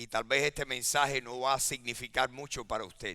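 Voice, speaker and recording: Bright, sharp tone with fairly even intonation. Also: man. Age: 70s. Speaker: pastor. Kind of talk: sermon. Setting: church.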